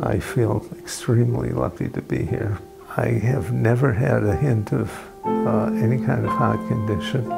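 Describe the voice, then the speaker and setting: Clear music behind a man's moderately paced speech. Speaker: cardiac arrest survivor. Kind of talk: interview answer. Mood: calm, reflective. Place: home room.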